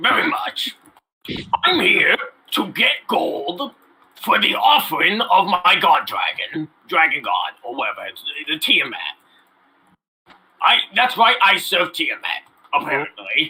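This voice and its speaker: Using a put-on character voice, a man talks at a fairly slow pace in an extremely high pitch, with long, frequent pauses. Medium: actual play. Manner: boastful, simple.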